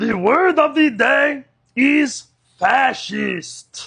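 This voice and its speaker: A man speaks in a cartoonish character voice at an extremely high pitch. His pace is very slow. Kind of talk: comedy puppet sketch.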